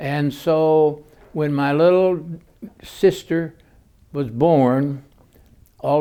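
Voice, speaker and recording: A man's dark, mellow voice, fairly high in pitch, at a very slow pace with fairly even intonation. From US Midwest, central Illinois. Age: 80s+. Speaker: former university president. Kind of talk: oral history interview. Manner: halting, many fillers.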